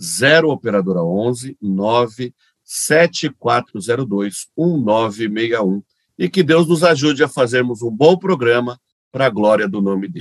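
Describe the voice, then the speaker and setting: A man speaks very slowly at medium pitch with lively intonation, in a dry, close sound with no echo. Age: 40s. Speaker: pastor, radio co-host. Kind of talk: radio show, announcements and Q&A; reading aloud.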